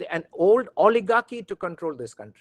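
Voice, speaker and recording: A man's high-pitched voice, dry and close with no echo. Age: 60s. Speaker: law professor. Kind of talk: lecture. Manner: halting, many fillers.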